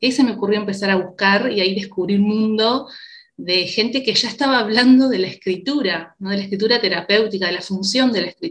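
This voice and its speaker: Somewhat breathy, a woman talks at a fairly quick pace with a medium pitch. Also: ordinary pitch variation. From Uruguay. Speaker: psychologist. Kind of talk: interview conversation.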